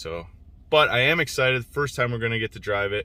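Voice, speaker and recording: A man with a southern Ontario accent talks at a very fast pace in a medium pitch, his tone bright and sharp and his pitch variation ordinary. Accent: Canadian (southern Ontario). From southwestern Ontario, Canada. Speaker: truck rebuild vlogger. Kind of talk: casual vlog talk to camera.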